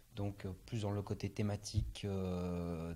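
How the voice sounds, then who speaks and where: This man talks at a very slow pace in a fairly low pitch, his tone dark and mellow. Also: very clean recording, silent background. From France, Brittany (Morbihan). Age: 30s. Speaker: street artist. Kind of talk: interview. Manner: hesitant, many fillers.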